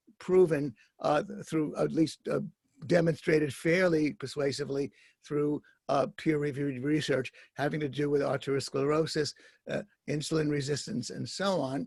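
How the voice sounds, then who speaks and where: A man with an American accent, fairly high in pitch and somewhat breathy, in a dry, close sound with no echo. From New York City. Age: 70s. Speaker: guest interviewer, writer. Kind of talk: interview. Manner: halting, many fillers.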